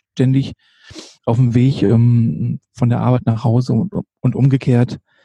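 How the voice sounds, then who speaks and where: Speaking at a fairly slow pace, a man has a dark, mellow, somewhat breathy tone with ordinary pitch variation. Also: dry, close sound with no echo. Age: 50s. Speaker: street photographer and nurse. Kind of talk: casual interview. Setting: late-evening podcast recording. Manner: hesitant, many fillers.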